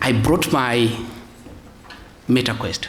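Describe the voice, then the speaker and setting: At a moderate pace, a man talks amid noticeable background noise and audible echo from the room. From Scotland. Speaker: audit specialist, conference speaker. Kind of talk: conference presentation. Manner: hesitant, repeats words.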